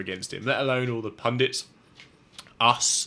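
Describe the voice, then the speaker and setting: Here a man talks at a moderate pace. His tone is bright and sharp. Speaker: football podcast co-host. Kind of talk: casual chat.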